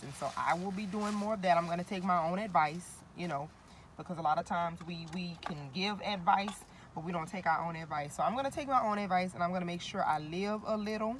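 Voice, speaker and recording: A woman talks at a very fast pace in an animated tone, her fairly low pitch showing ordinary variation. Noticeable background noise runs underneath. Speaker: vlogger. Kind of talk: motivational vlog.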